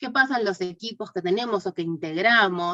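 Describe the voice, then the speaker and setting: The sound is dry and close, with no echo. A woman speaks at a moderate pace, her pitch varying in an ordinary way. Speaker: course teacher. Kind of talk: online class lecture. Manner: hesitant, many fillers.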